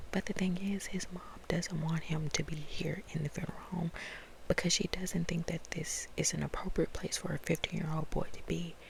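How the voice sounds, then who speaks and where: At a moderate speed, a soft-spoken woman delivers her words in a whisper. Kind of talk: book review, talking to camera. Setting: ASMR video. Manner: soft-spoken, whispered.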